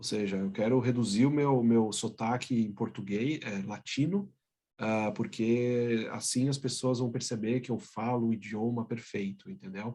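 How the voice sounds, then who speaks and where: Medium in pitch with a dark, mellow tone, a man speaks at a moderate pace with ordinary pitch variation. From Brazil. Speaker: business executive. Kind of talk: interview.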